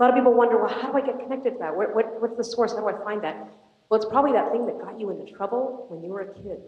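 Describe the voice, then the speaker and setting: A woman speaks in a high, animated voice, with audible echo from the room. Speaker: motivational speaker. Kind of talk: inspirational talk. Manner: loud.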